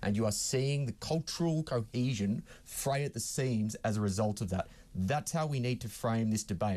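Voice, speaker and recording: Over a quiet background, a man with an Australian accent speaks at a fairly quick pace. His dark, mellow tone sits at a medium pitch with ordinary pitch variation. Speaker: political commentator. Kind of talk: heated debate.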